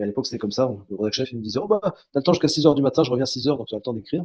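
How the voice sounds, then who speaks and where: A man speaks at a very fast pace in a medium pitch with a dark, mellow tone and lively intonation. The sound is dry and close with no echo. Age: 60s. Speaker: journalist. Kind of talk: interview. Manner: halting, many fillers and repetitions.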